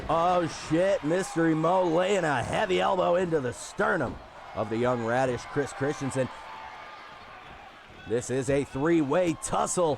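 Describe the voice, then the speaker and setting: The speech moves at a fairly slow pace with long, frequent pauses and very even loudness, over noticeable background noise. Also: man, fairly high pitch for a man, lively intonation. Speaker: wrestling commentator and stream host. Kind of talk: live commentary. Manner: animated.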